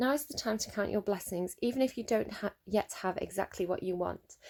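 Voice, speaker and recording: A woman at medium pitch and a fairly quick pace, in a very clean recording with a silent background. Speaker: tarot reader. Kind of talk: tarot reading. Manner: fast; hesitant with fillers.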